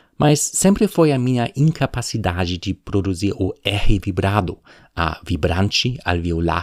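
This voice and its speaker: A man speaks with a very deep, low pitch and lively intonation. The sound is dry and close with no echo, on a very clean recording with a silent background. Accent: German. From Germany. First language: German (speaking Portuguese). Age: 40s. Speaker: podcaster. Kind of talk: personal narration.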